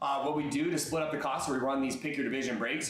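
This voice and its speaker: Speech comes at a fairly quick pace, with audible room echo and noticeable background noise. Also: man. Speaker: live stream card breaker. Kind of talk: live sales stream. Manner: fast.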